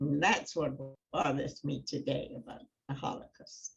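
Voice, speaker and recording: Somewhat breathy, a woman speaks at a moderate pace. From Germany, then England. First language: German. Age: 90s. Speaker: Holocaust survivor. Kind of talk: testimony. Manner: halting.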